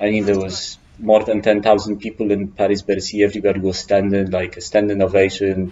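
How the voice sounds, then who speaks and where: A man's voice at a fairly quick pace, with noticeable background noise. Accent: Polish. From Poland. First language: Polish. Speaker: climbing route setter. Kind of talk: interview. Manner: halting.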